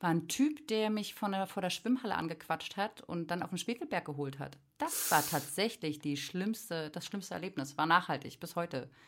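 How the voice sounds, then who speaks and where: Pausing hardly at all, a woman with a fairly low pitch speaks at a moderate pace in an animated tone with lively intonation. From Berlin (Friedrichshagen area). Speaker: artist. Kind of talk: casual chat.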